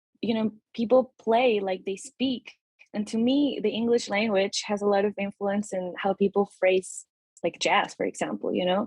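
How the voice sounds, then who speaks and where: At a moderate pace, the speaker uses fairly even intonation in a somewhat breathy voice with a Spanish accent. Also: woman, medium pitch for a woman. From Peru. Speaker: musician, saxophonist and guitarist. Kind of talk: casual interview.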